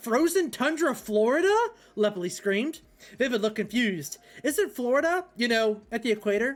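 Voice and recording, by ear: The clip is reading aloud in a natural voice with lively intonation.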